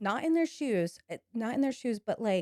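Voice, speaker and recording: Lively in intonation, a woman speaks with a dark, mellow tone in a dry, close sound with no echo. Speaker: salon owner. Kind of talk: casual chat. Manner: loud.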